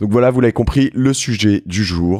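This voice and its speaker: The man's voice has a dark, mellow tone. The recording is very clean, with a silent background. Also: dry, close sound with no echo. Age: 40s. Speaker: podcast host. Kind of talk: casual interview. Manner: hesitant, many fillers.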